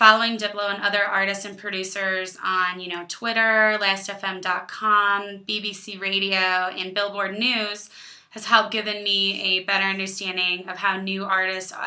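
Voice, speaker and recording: A woman with a bright, sharp tone and medium pitch speaks at a moderate pace in a monotone, flat delivery with big swings in loudness. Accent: Illinois. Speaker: student. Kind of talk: class presentation to camera.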